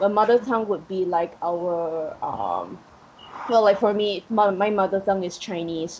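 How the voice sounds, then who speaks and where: A woman speaks at a medium pitch and a moderate pace. Her intonation is fairly even, and there is noticeable background noise. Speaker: guest teacher. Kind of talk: casual chat.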